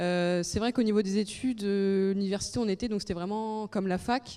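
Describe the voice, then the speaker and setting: A woman speaks at a fairly quick pace with a medium pitch, a dark, mellow tone and fairly even intonation, on a very clean recording with a silent background. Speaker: student. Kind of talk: testimony.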